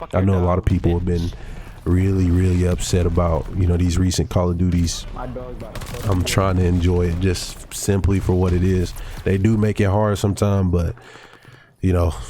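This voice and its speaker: The voice keeps a very even loudness and a monotone, flat intonation at a moderate pace, with noticeable background noise behind it. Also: man. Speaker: gaming youtuber. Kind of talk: casual gameplay commentary.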